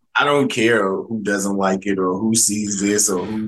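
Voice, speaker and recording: At a moderate pace, a man talks in a monotone, flat intonation at a fairly low pitch. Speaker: podcast host. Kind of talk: casual interview chat.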